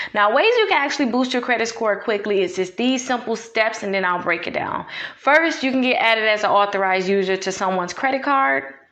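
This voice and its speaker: A woman talks with lively intonation while noticeable background noise is present. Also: fairly quick pace. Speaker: realtor and credit repair advisor. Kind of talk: tutorial. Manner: fast.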